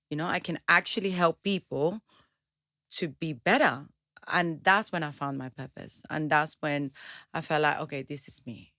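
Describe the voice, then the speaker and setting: On a very clean recording with a silent background, a woman with a Venezuelan accent speaks at a moderate pace, her pitch very deep and low and her tone bright and sharp. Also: ordinary pitch variation, big swings in loudness. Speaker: entrepreneur and motivational speaker. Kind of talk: interview. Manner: halting, many repetitions.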